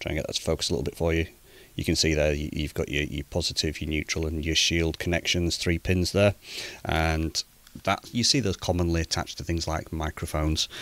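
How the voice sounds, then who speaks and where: At a fairly quick pace with fairly even intonation, the voice comes through dry, with no echo. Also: man, very deep, low pitch for a man. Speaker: amateur radio hobbyist. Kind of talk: tutorial. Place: home room. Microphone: studio mic.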